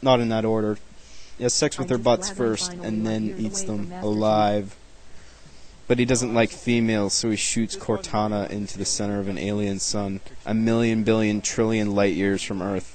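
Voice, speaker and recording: Over noticeable background noise, a man talks at a moderate pace. His pitch sits fairly low. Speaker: web series creator doing commentary. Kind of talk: video commentary. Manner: laid back; monotone.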